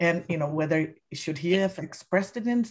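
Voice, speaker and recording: Somewhat breathy and fairly low for a woman, her voice moves at a moderate pace with lively intonation. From Indonesia. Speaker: film critic. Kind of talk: casual interview.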